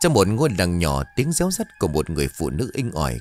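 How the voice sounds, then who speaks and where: Over faint background music, a man with a very deep, low voice talks at a moderate pace in a dry sound with no echo. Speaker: storyteller narrator. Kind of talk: dramatic story reading. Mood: suspenseful horror storytelling. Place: studio. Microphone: studio mic.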